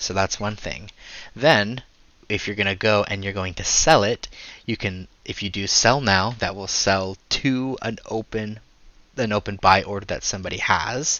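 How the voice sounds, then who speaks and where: This man has an unremarkable speaking voice, fairly low in pitch. He moves at a moderate pace with ordinary pitch variation. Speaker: gaming tutorial creator. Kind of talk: casual farewell talk; tutorial. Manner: casual with fillers.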